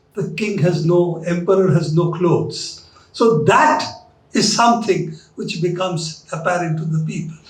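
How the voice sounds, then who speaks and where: A man talks fairly slowly, with audible room echo and noticeable background noise around his voice. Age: 70s. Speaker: journalist and lecture speaker. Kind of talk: lecture.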